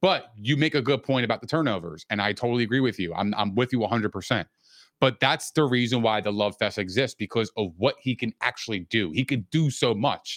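Against a quiet background, a man with a medium-pitched voice talks at a fairly quick pace with lively intonation, the sound dry and close with no echo. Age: 30s. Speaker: podcast co-host. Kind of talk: casual chat. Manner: animated.

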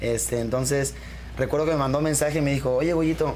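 Words come very quickly from this male speaker. Behind him, background noise is clearly noticeable. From Jalisco, Mexico (Autlán de Navarro area). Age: 20s. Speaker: band singer. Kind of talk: interview.

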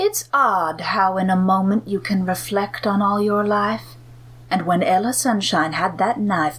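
What we hear is a natural reading voice.

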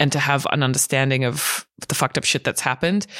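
In a very clean recording with a silent background, a woman with an Australian accent talks at a fairly quick pace, her pitch very deep and low with ordinary variation. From Australia, raised partly in Hong Kong. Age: 30s. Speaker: podcast co-host. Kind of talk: casual chat.

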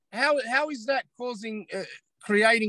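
In an Australian accent, a man speaks in a bright, sharp, animated tone with ordinary pitch variation. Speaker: social media commentator. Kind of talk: casual interview chat. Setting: in a parked car.

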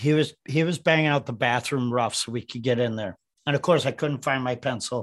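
A man with a normal speaking voice at medium pitch, ordinary pitch variation and a fairly quick pace, against a quiet background. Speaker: building science expert and live show co-host. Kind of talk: casual interview chat.

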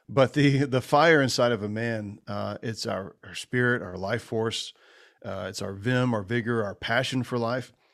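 A man speaks with an unremarkable speaking voice at a medium pitch. His pace is moderate, and his pitch variation is ordinary. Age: 40s. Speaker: men's ministry leader and entrepreneur. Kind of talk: casual interview.

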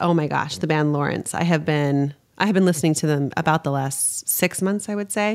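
A woman with an ordinary speaking voice, ordinary pitch variation and a fairly quick pace, hardly any pauses, on a very clean recording with a silent background. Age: 40s. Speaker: podcast host and leadership coach. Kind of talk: casual interview.

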